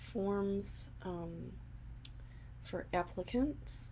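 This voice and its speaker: A soft-spoken woman's voice. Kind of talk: soft-spoken ASMR.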